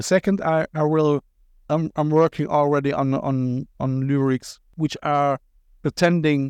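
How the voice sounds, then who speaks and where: A man with a German accent speaks at a fairly slow pace. The sound is dry and close, with no echo. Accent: German-accented English with Cologne tinge. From Germany, Cologne. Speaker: podcast host and visual artist. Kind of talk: casual interview chat. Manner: animated, repetitive stammering.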